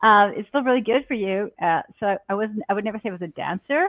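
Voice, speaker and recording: A woman speaks in an ordinary speaking voice at a fairly high pitch and a fairly quick pace. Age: 60s. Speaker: actress and yoga teacher. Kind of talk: interview.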